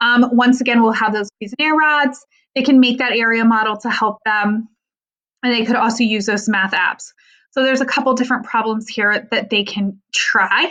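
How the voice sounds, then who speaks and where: Her pitch fairly high and her intonation fairly even, a woman speaks in a normal speaking voice. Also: moderate pace. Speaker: math curriculum coach for teachers. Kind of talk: tutorial.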